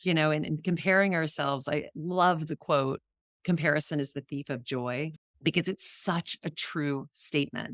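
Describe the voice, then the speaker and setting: A woman speaks with a very deep, low pitch and ordinary pitch variation. The very clean recording has a silent background and a dry, close sound with no echo. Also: moderate pace. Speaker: auctioneer and author. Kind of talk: podcast interview answer.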